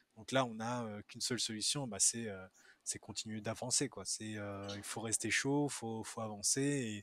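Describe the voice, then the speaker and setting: In a normal speaking voice, a man talks at a medium pitch and a fairly slow pace with fairly even intonation, on a very clean recording with a silent background. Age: 30s. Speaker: ultra-distance cyclist. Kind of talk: casual chat.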